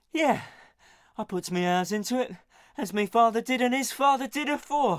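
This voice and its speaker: A man mumbles in a put-on character voice at an extremely high pitch, moving at a moderate pace with ordinary pitch variation. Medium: video game. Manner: dialect grammar, mumbling.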